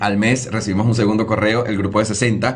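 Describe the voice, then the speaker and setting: A man's animated, somewhat breathy voice at a fairly quick pace. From Venezuela, Lara state near Barquisimeto. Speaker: TV news presenter. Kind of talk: interview storytelling.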